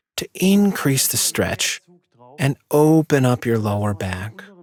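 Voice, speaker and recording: A calm tone with very wide pitch swings, fairly slow, in a dry, close sound with no echo. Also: man. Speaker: pain therapist demonstrating exercises. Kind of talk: exercise tutorial. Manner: calm, instructive.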